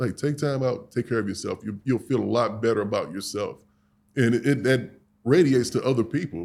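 A man speaks at a medium pitch with vocal fry and ordinary pitch variation. The recording is very clean, with a silent background. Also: fairly quick pace. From St. Louis, Missouri, US Midwest. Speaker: grooming products business owner. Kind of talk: casual interview.

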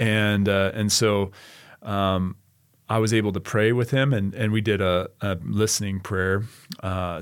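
With an American accent and a normal speaking voice, a man talks at a fairly low pitch with fairly even intonation, on a very clean recording with a silent background. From Idaho, US. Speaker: church planting network director. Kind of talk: casual chat.

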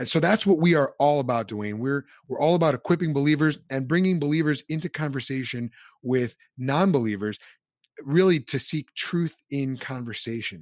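A man with a plain, everyday voice talks at a moderate pace, his pitch fairly high with ordinary variation. The recording is very clean with a silent background and a dry, close sound with no echo. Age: 30s. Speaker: ministry leader and former pastor. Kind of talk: interview conversation.

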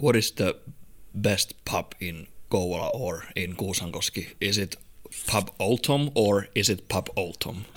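This man's voice sits at a fairly low pitch with ordinary variation. He speaks at a fairly slow pace. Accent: Finnish. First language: Finnish. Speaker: podcast host. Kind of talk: casual chat. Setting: studio.

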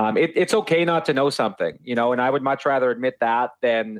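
A man at a fairly quick pace with a Canadian Prairies accent. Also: quiet background. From Saskatoon, Saskatchewan, Canada. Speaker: IT sales director. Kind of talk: casual interview.

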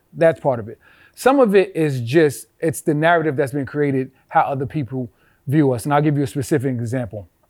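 A man talks fairly quickly, his fairly high voice rising and falling in an ordinary way. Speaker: DJ. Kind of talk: casual chat.

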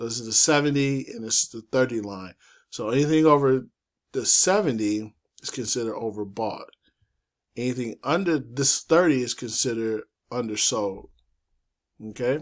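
A man talks at a moderate pace and medium pitch with ordinary pitch variation. His loudness swings widely, and he leaves long, frequent pauses. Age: 40s. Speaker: forex trading YouTuber. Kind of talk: casual screen-share tutorial. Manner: casual, loose delivery with fillers.

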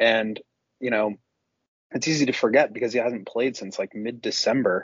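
An ordinary speaking voice, from a man with an American accent. His medium pitch carries fairly even intonation at a moderate pace. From Chicago. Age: 20s. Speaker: basketball analyst. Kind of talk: casual chat.

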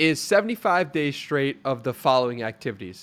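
A man speaks at a moderate pace in an unremarkable speaking voice. His intonation is lively. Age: 20s. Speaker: podcaster and writer. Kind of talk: interview conversation. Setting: video call.

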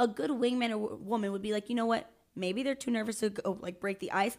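A woman speaks very fast at a fairly high pitch with ordinary pitch variation. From Miami. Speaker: teacher. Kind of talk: casual chat. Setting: studio.

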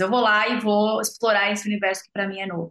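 Pitched in the medium range, a woman talks at a fairly quick pace. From São Paulo, Brazil. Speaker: agribusiness entrepreneur. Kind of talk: interview conversation.

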